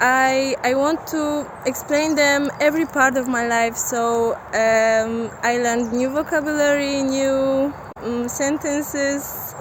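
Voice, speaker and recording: Noticeable background noise sits behind a woman with a high pitch. She speaks at a very slow pace. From Poland, Silesia. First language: Polish (Silesian). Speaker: volunteer. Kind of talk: personal testimony. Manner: halting, many fillers.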